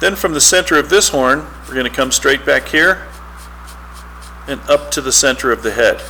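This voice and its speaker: There is noticeable background noise as this man speaks at a moderate speed. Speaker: art teacher. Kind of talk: tutorial.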